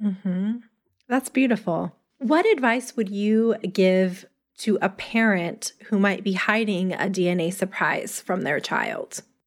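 At a fairly slow pace, a woman speaks in an ordinary speaking voice at medium pitch with ordinary pitch variation, on a very clean recording with a silent background. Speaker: podcast host. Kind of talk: podcast interview and scripted intro.

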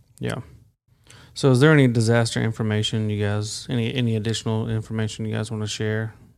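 A fairly low-pitched man with a Southern US accent, talking at a fairly quick pace in a monotone, flat delivery. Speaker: podcast host. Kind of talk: interview. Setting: studio.

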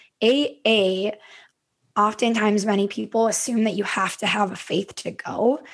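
Speaking fairly slowly with an Upper Midwest accent, a woman with a fairly high pitch talks over a quiet background. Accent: Upper Midwest American. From Minnesota, US. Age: 30s. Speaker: podcast host and yoga/wellness coach. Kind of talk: casual interview conversation.

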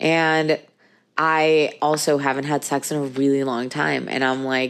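The recording is very clean, with a silent background. The speech moves at a fairly slow pace. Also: woman. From Venezuela. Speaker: intimacy coach and podcast host. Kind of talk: solo podcast monologue, casual confessional. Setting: recording from bed at home.

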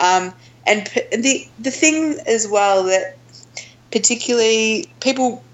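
A woman with an Australian accent speaks at a fairly slow pace with lively intonation. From Australia, Melbourne. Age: 30s. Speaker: outdoor adventure group founder. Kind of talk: interview conversation.

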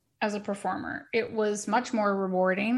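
An unremarkable speaking voice belongs to a woman at a medium pitch, talking at a moderate pace with ordinary pitch variation. The recording is very clean, with a silent background. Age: 40s. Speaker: Pilates instructor and wellness studio founder. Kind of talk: casual interview chat.

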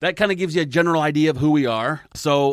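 A man's voice with an American accent, very cleanly recorded against a silent background. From US Midwest, northern Indiana. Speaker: podcast host. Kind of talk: casual chat.

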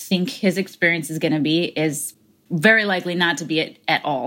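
A woman with an American accent talks in a plain, everyday voice, fairly low in pitch with ordinary variation, at a moderate pace on a very clean recording with a silent background. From United States. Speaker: parent educator and speaker. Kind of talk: interview conversation.

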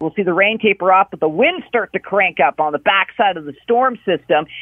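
Speaking at a fairly quick pace, a man with a high voice uses lively intonation. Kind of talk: weather forecast report delivered on air. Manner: brisk, professional, informative, briefly flustered by a slip.

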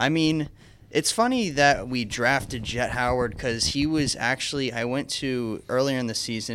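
A man with a normal speaking voice, ordinary pitch variation and a moderate pace, on a very clean recording against a silent background. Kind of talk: casual chat.

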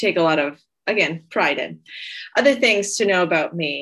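With an American accent, a woman speaks at a fairly quick pace in a medium-pitched, bright, sharp voice with lively intonation. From United States, Puerto Rican father. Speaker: occupational therapy professor. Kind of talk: casual interview chat. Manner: hesitant, many filler words.

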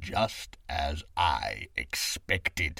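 A man speaks in a put-on character voice. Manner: sneering.

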